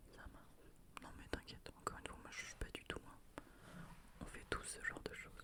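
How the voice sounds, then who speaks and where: A woman whispers over noticeable background noise. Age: 20s. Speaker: ASMR creator. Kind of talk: ASMR question game, casual talk to camera. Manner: friendly, playful, chatty, laughing.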